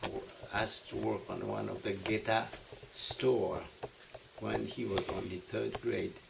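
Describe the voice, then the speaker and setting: Spoken at a fairly slow pace in a Japanese accent, the clip carries noticeable background noise. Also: man. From Japan, Tokyo. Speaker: war survivor. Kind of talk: oral history interview. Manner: halting.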